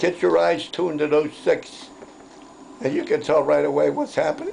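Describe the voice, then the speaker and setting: A man keeps a moderate pace as noticeable noise carries on in the background. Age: 80s+. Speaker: war veteran. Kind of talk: interview storytelling.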